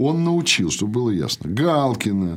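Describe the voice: A man's medium-pitched, theatrical voice at a moderate pace, with big pitch swings.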